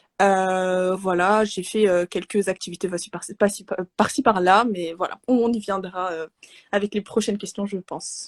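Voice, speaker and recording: Recorded dry and close with no echo, a woman speaks fairly slowly at a medium pitch with fairly even intonation. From Morocco. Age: 20s. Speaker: Arabic teacher and speech therapist. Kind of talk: interview. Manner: soft-spoken; halting, many hesitations.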